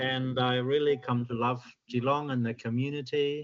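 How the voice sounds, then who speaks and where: Monotone and flat, a man with a German accent speaks at a fairly slow pace. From Germany. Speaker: submitter at public hearing. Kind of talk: public submission. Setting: video call from home.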